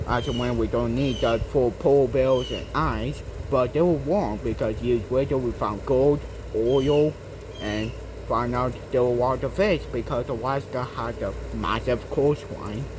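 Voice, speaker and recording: A man is speaking with audible room echo. Noticeable background noise can be heard as well. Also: fairly slow pace. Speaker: gaming channel owner explaining history. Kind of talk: casual educational monologue. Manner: halting, many fillers.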